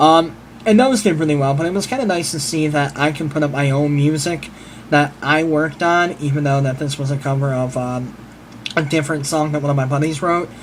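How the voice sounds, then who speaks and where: The speaker talks at a fairly quick pace with fairly even intonation. Audible room echo and noticeable background noise surround the voice. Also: man, fairly high pitch for a man. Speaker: vlogger and musician. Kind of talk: casual vlog monologue. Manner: fast.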